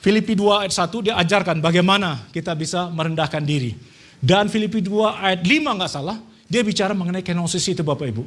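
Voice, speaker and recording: Audible room echo surrounds a man speaking at a very fast pace and a high pitch, with ordinary pitch variation. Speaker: preacher. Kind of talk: sermon. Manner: soft-spoken.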